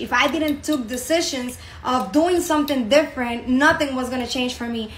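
A woman speaks at a moderate pace with a Spanish accent. Her voice is raised and projected. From Dominican Republic. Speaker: network marketing business promoter. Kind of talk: sales pitch. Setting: online video presentation.

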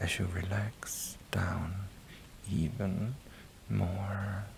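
The tone is gentle and calm, with noticeable background noise behind it. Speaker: ASMR content creator. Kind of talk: hypnotic guided relaxation with a countdown, deepening the listener's trance. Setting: recorded inside a virtual reality social game. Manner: slow, soothing, repetitive cadence with reassuring 'that's it' prompts; gentle and calm, counting down numbers in a lulling rhythm.

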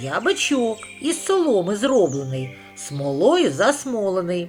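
Over clear background noise, a man in a put-on character voice speaks fairly slowly at a high pitch with very wide pitch swings. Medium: read story.

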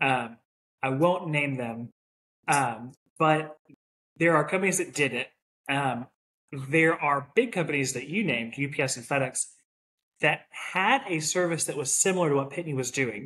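Bright and sharp in tone, a man talks at a moderate pace and fairly high pitch, with ordinary pitch variation and long, frequent pauses. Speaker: logistics professional, podcast co-host; podcast co-host. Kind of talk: casual chat. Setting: home recording, echoey room. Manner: talkative. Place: home room.

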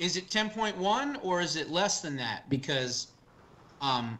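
The voice has an American accent and a bright, sharp tone. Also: man. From New Jersey. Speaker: political talk show host. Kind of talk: political commentary.

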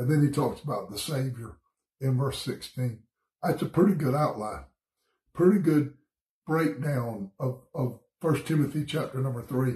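A man with a Southern US accent speaks in a fairly high, somewhat breathy voice with a dark, mellow tone and ordinary pitch variation. Long, frequent pauses break up his speech, and the room echo is audible. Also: moderate pace. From US South, Georgia. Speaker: pastor. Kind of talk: bible study devotion. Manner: casual, conversational. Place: home room. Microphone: phone near.

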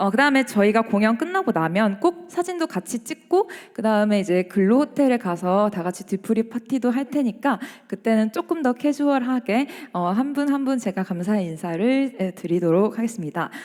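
Fairly high female voice with very wide pitch swings. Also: moderate pace. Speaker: double bassist, ensemble leader. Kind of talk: speech to audience. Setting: concert hall stage. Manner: hesitant with fillers.

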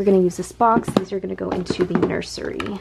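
A woman speaks at a fast pace with medium pitch, a slightly mellow tone, fairly even intonation and vocal fry, over faint background noise.

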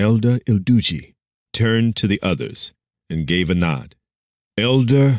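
The background is quiet while a natural reading voice carries the words.

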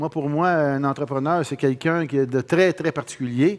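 At a moderate pace, a man speaks with ordinary pitch variation over a quiet background. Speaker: business founder; conference speaker. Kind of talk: conference talk. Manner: halting. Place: hall. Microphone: headset.

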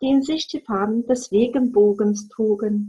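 At a fairly slow pace, a woman speaks in a somewhat breathy voice with a gentle, soothing tone that is dark and mellow. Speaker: storyteller reading fairy tales aloud. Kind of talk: bedtime story reading, fairy tale read aloud. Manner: gentle, slow, soothing storytelling pace; warm, expressive, dreamy with soft pauses.

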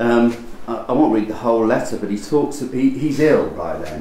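Light background noise accompanies audible echo from the room. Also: man. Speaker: literature professor. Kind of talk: academic lecture. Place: hall.

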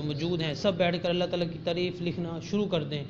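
Over noticeable background noise, a man with a high pitch keeps his intonation fairly even. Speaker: speaker. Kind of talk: sermon. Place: church.

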